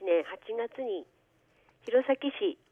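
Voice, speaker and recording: This is a woman speaking. Her pitch is high. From Aomori, Japan (Aomori city). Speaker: public health nurse. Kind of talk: radio interview. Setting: phone call.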